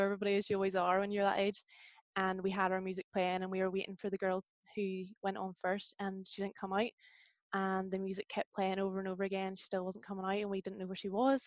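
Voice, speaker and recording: A woman with a Northern Irish accent talks very fast at a medium pitch, the sound dry and close with no echo. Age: 20s. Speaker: university student and youth group leader. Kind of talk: casual interview.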